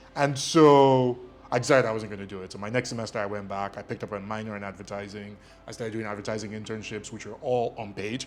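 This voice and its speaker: With music in the background, a man with a fairly low voice talks very fast, his intonation fairly even but his loudness swinging widely. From Nigeria, Lagos (Surulere). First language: Ijesha Yoruba. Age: 30s. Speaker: media company executive. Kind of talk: interview. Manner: hesitant, many fillers.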